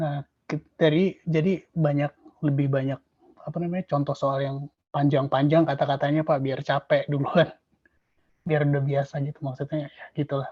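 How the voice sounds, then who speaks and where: Somewhat breathy and dark, mellow in tone, a man with a fairly high pitch talks at a moderate pace with fairly even intonation in a dry, close sound with no echo. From Indonesia. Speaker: exam testimonial speaker. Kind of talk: testimony.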